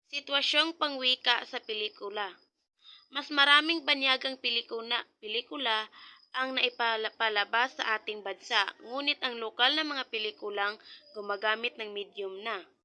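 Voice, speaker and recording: A woman's fairly high voice at a moderate pace, with ordinary pitch variation, a dry, close sound with no echo and a quiet background. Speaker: educational video narrator. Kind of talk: reading aloud lesson notes. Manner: halting.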